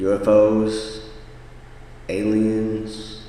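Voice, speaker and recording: Noticeable background noise and audible room echo are both present in the clip. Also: man. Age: 30s. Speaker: podcast host. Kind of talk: personal storytelling monologue.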